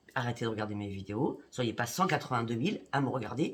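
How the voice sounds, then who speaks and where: At a fairly quick pace, a woman speaks in a very deep, low pitch that is somewhat breathy. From Paris, France. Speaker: psychic YouTuber. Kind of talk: direct-to-camera monologue. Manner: indignant.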